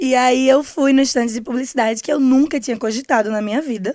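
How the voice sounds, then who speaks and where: In a very clean recording with a silent background, a woman speaks at a high pitch and moderate pace with ordinary pitch variation. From Pernambuco, Brazil (Cabo de Santo Agostinho, Recife area). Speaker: media coordinator at an ad agency. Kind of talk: podcast interview.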